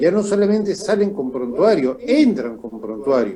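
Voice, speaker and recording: Noticeable background noise sits under the voice. Its pitch swings very widely. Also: man. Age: 60s. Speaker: political commentator. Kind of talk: political interview. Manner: halting with fillers.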